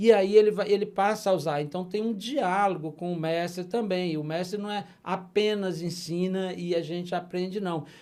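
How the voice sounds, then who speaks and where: A man talks at a fairly slow pace in a high-pitched voice. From Brasília, Brazil. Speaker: puppeteer and popular culture master. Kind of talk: interview conversation.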